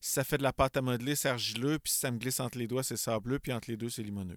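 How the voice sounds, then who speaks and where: In a Quebec accent, a man speaks very fast at a medium pitch with ordinary pitch variation. The recording is very clean with a silent background, and the sound is dry and close with no echo. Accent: Québécois French. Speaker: podcast host. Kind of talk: casual interview chat.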